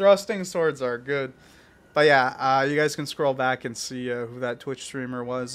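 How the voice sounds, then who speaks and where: The speaker is a man. He talks at a moderate pace. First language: French or multilingual (English not first). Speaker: gaming YouTuber. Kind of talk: casual gameplay commentary. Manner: halting, many fillers.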